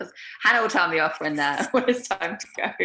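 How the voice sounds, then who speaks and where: A woman with a British accent speaks at a very fast pace. Her pitch swings very widely. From UK. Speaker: producer and interviewer. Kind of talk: interview.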